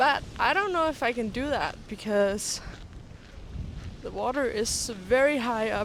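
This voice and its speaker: Through noticeable background noise, a woman with a Danish accent speaks at a fairly slow pace. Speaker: vlogger and artist. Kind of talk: casual vlog narration. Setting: outdoors hiking. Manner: casual, halting with fillers.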